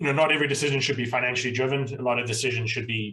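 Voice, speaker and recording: A man's very fast speech with a South African accent and fairly even intonation. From South Africa (Pretoria, Cape Town). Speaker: accountant, accounting firm owner. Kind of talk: podcast interview.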